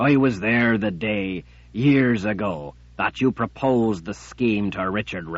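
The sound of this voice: An unforced reading voice carries ordinary pitch variation here.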